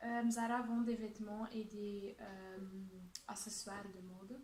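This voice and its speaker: In a Dutch accent, a woman speaks at a very slow pace with a fairly high pitch. Audible room echo surrounds her voice. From Flanders, Belgium. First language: Dutch (speaking French). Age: 20s. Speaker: job applicant (student role-play). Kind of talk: role-played job interview. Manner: hesitant, many fillers.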